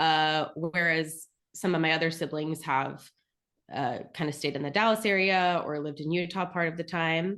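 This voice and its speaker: A woman speaks in an unremarkable speaking voice at a fairly low pitch and moderate pace. Her intonation is fairly even, the background quiet. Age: 30s. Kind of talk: podcast interview answer.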